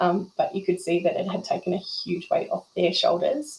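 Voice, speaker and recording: Over noticeable background noise, a woman with a New Zealand accent speaks at a moderate pace. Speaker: emergency volunteer. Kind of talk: testimony. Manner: animated.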